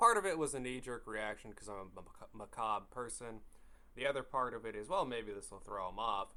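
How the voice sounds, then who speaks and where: A man's medium-pitched voice has a bright, sharp tone, ordinary pitch variation and big swings in loudness. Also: fairly quick pace. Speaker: horror story narrator. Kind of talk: casual personal storytelling. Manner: casual, rambling.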